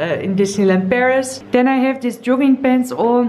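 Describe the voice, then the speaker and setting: The speaker is a woman with fairly even intonation. She keeps a moderate pace. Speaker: lifestyle vlogger. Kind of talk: casual vlog chat. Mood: cheerful, chatty. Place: home room. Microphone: phone near.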